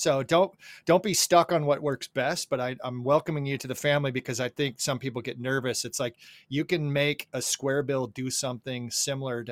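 Recorded very cleanly against a silent background, a man talks at a fairly quick pace in a plain, everyday voice, medium in pitch with ordinary pitch variation, the sound dry and close with no echo. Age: 50s. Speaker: fishing podcast co-host. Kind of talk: casual chat.

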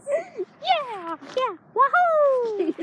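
Someone performs a put-on character voice. The pitch is extremely high. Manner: excited, cheerful.

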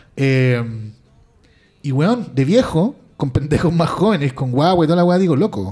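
A man's plain, everyday voice, fairly high in pitch, with lively intonation and a moderate pace. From Chile. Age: 40s. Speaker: podcast co-host. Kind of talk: casual chat.

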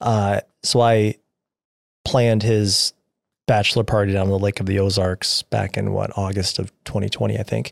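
Recorded very cleanly with a dry, close sound, no echo and a silent background, a man speaks at a moderate pace in a fairly low, monotone, flat voice. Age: 30s. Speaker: podcast co-host. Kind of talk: casual chat. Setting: studio.

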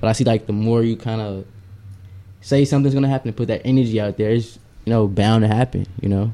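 A man talks at a very fast pace with a medium pitch. His tone is dark and mellow, and his intonation stays fairly even. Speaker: podcast co-host. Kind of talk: casual chat. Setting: studio. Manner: fast talker.

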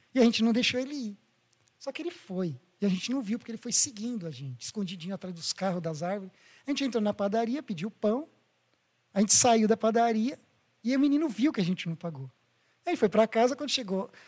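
A man with a high pitch and lively intonation talks at a very fast pace, broken by long, frequent pauses. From Brazil, born in Bahia, Japanese-Brazilian. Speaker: former Pathfinder club leader. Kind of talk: casual chat.

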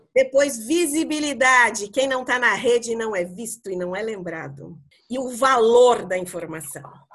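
In a normal speaking voice, a woman speaks fairly slowly at a fairly high pitch, with lively intonation and big swings in loudness. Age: 50s. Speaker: psychologist and career mentor. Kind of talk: casual podcast chat.

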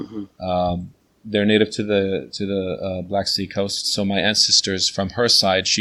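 With a New Jersey accent, a man speaks at a moderate pace in a fairly low, bright, sharp voice with monotone, flat intonation, on a very clean recording with a silent background. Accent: American, New Jersey. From New Jersey, USA. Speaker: teacher and translator. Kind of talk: interview. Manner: hesitant, many fillers.

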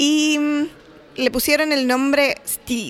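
A woman speaks with fairly even intonation. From Chile. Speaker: postdoctoral researcher. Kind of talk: interview. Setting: conference.

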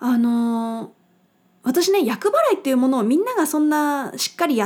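A woman's high-pitched voice with lively intonation at a fairly quick pace, in a very clean recording with a silent background. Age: 30s. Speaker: podcast host living with a chronic illness. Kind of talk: casual solo radio talk. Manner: casual, chatty with laughter.

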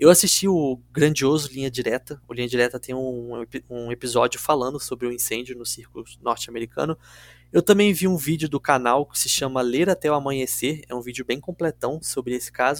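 A man with a normal speaking voice talks at a fairly quick pace, with medium pitch, ordinary pitch variation and big swings in loudness. The sound is dry and close with no echo, on a very clean recording with a silent background. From Rio de Janeiro city, Brazil. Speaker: true crime podcast host. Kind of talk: storytelling podcast chat.

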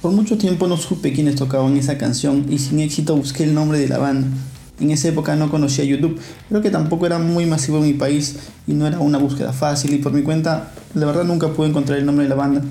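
A man with a Peruvian accent talks at a very fast pace and a fairly high pitch, with fairly even intonation and very even loudness. Noticeable background noise and audible room echo surround him. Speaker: podcast host. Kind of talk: podcast monologue.

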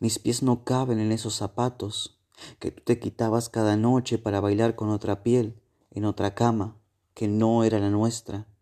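The voice has a dramatic yet dark, mellow tone, with monotone, flat intonation. It moves at a fairly slow pace over a quiet background. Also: man, medium pitch for a man. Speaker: poet. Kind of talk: spoken-word poetry reading, intimate and melancholic, addressed to a lost lover. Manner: soft, slow and wistful, dramatic pauses, emotional delivery.

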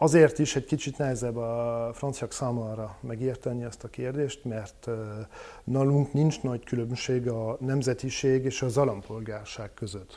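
Dark and mellow in tone, a man's voice sits at a medium pitch and moves at a fairly slow pace with fairly even intonation. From France. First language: French (speaking Hungarian). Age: 30s. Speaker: political activist. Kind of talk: interview. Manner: halting, with fillers.

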